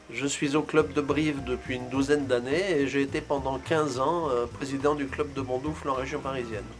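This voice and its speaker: With music in the background, a man with a fairly high pitch speaks at a moderate pace, using hardly any pauses and fairly even intonation. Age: 70s. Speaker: retired inspector, board candidate. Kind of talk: candidate self-presentation.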